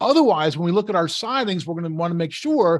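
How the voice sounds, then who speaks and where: Against a quiet background, a man talks at a very fast pace in a high pitch. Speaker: building science presenter. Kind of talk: webinar lecture.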